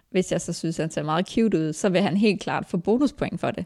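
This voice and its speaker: Over a silent background in a very clean recording, a woman talks very fast with a fairly low pitch and a dark, mellow tone. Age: 30s. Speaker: hairdresser. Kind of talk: casual chat. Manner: soft-spoken. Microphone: too far from the mic.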